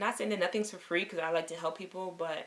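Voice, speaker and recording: This woman's voice sits fairly low in pitch, and her intonation stays fairly even. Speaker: lifestyle vlogger. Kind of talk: casual vlog talk to camera. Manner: fast.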